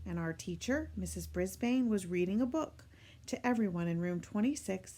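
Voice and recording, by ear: The speaker is reading aloud in a natural voice, and the intonation is lively.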